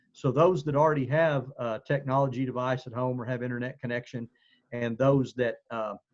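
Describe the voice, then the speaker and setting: A man with a Southeastern Oklahoma accent speaks at a fairly quick pace. His pitch is medium and his intonation fairly even. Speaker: school administrator. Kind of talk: community meeting briefing. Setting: video call. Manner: halting with fillers.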